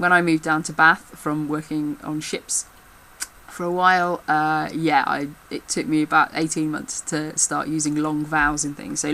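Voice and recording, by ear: A woman's very deep, low voice with a northern English accent, bright and sharp in tone, monotone and flat, at a moderate pace. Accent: regional northern English, short vowels.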